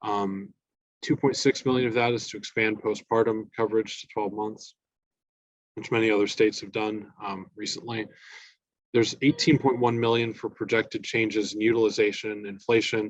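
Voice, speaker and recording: A man talks at a medium pitch. His intonation is fairly even. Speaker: government budget analyst. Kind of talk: policy presentation. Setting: meeting with audience. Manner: fast.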